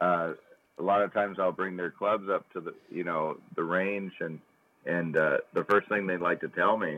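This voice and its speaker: A man talks in a very deep, low pitch. His intonation is monotone and flat, at a moderate pace. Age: 40s. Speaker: golf club sales rep, podcast co-host. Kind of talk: casual chat. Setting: phone call. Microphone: sounds gargly on the phone.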